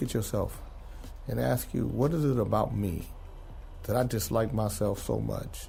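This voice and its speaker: At a moderate pace, a man with an American accent speaks amid audible room echo. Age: 60s. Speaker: music artist and producer. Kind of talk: interview.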